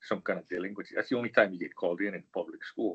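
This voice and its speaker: This man has a fairly low voice. He speaks in a Hawaiian accent. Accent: Hawaii local English. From Hawaii, Honolulu (Manoa Valley). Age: 70s. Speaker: engineer, professional society leader. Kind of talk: interview. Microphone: bad connection, old office computer.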